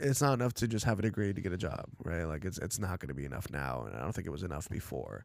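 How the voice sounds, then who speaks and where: A man with an American accent talks at a very fast pace in a very deep, low voice with vocal fry. His pitch swings very widely. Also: hardly any pauses. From Los Angeles, US (Russian-born). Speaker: college professor and musician. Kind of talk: casual interview conversation.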